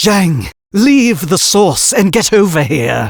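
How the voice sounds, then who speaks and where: A man's put-on character voice, high in pitch, with very wide pitch swings and a fairly slow pace. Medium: read story. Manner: curt, impatient, bossy.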